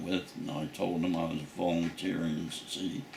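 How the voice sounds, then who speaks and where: With a Nova Scotian accent, a man speaks at a moderate pace in a very deep, low pitch and fairly even intonation. Room echo is audible, and there is noticeable background noise. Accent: rural Nova Scotian English. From Nova Scotia, Canada (south shore). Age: 90s. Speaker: war veteran. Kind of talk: oral history interview. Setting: at home.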